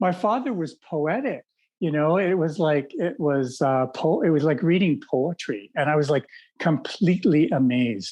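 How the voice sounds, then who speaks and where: Someone with a Canadian accent speaks at a moderate pace with lively intonation. The background is quiet. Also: man, fairly high pitch for a man. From Canada, Toronto. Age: 60s. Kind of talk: podcast interview. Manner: hesitant, many fillers.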